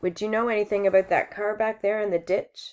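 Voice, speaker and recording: The speaker uses a put-on character voice with a raspy edge. The pace is fairly quick. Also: female-sounding voice, medium pitch for a woman. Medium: read story. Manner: blunt, laconic.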